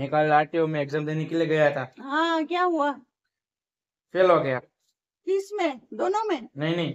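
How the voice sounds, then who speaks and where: Against a quiet background, a man speaks at a moderate pace with long, frequent pauses. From Gujarat, India. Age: 20s. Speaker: vlogger, engineering student; vlogger. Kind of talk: casual vlog to camera. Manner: mouth full while eating. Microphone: phone near.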